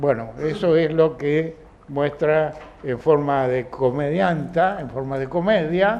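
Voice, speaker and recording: A man with a fairly high pitch talks at a very slow pace, his pitch varying in an ordinary way. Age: 80s+. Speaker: philosophy school director and teacher. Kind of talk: film commentary talk to an audience. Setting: film club session with audience.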